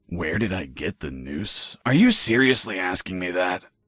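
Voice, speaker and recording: A man puts on a character voice, very deep, low in pitch and raspy. He speaks at a moderate pace with lively intonation. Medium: video game. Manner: deadpan, sarcastic.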